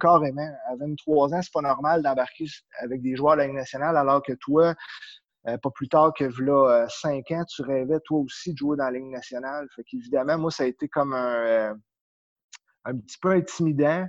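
This man's voice is fairly high in pitch, with fairly even intonation and a moderate pace. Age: 30s. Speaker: power skating coach. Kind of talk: interview.

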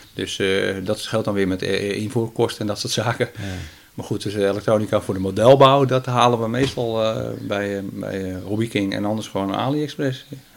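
A man speaks at a moderate pace with a fairly low pitch and fairly even intonation. Noticeable background noise runs underneath. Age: 50s. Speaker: radio amateur and model aircraft hobbyist. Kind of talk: casual interview. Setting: at guest's home.

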